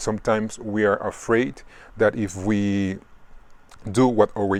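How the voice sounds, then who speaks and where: A man's fairly low voice at a fairly slow pace, with fairly even intonation. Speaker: tarot reader. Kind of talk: tarot reading video. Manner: halting, many fillers and repetitions.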